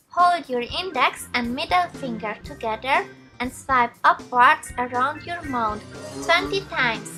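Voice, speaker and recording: Over music in the background, a woman speaks very slowly in a high, raised, projected voice with lively intonation. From Switzerland. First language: Swiss German. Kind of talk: beauty tutorial instructions to camera.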